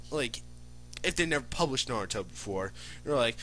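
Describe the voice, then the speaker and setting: A man speaks with music playing in the background. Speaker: aspiring manga artist vlogger. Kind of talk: casual vlog monologue. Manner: rambling, filler-heavy.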